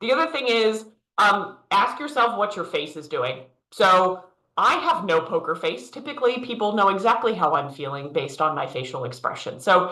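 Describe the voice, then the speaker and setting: A loud woman at a medium pitch and moderate pace, with very wide pitch swings and audible room echo. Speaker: leadership coach. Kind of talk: virtual workshop presentation.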